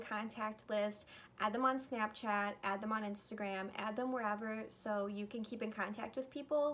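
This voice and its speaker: A woman with a normal speaking voice talks at a moderate pace, her fairly high pitch held to a fairly even intonation. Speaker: YouTuber. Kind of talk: storytime vlog.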